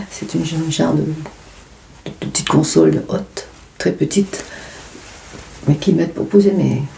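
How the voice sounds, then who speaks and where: A soft-spoken woman talks at a moderate pace, with long, frequent pauses. Background noise is noticeable. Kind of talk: ASMR unboxing.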